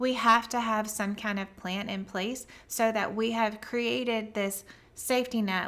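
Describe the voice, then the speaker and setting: A woman with a Southern US accent, fairly high-pitched, at a moderate pace with fairly even intonation. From US South, near the Gulf Coast. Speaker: business coach. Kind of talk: live stream talk to viewers. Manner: casual, conversational.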